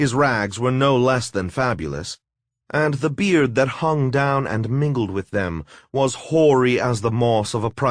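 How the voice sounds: The clip has a natural reading voice with ordinary pitch variation. The background is quiet.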